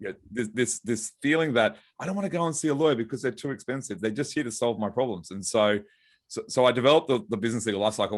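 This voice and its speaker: With an Australian accent, a man speaks at a very fast pace and with lively intonation on a very clean recording with a silent background. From Australia, Brisbane. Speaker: lawyer and author. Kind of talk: podcast interview.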